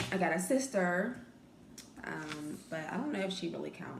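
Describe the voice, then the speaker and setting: A soft-spoken woman with a fairly low pitch talks at a moderate pace, with audible room echo and noticeable background noise. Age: young. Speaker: vlogger. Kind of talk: casual chat.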